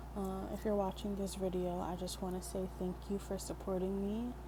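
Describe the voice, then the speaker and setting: At a moderate pace, a soft-spoken woman talks. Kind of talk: soft-spoken ASMR poetry reading with personal commentary. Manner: soft-spoken, relaxing.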